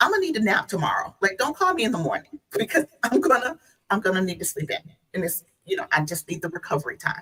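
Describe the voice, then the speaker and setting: A woman with a Southern US accent speaks very fast at a fairly high pitch. Her pitch swings very widely. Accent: Southern US twang. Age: 50s. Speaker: guest. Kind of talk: casual chat.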